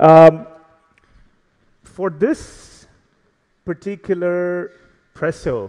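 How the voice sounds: Very slowly, a man speaks at a high pitch with a dark, mellow tone and fairly even intonation.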